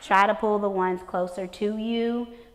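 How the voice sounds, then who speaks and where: A woman with an American accent speaks at a fairly slow pace and with fairly even intonation, with audible room echo. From Texas. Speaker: elementary school principal. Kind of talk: conference talk.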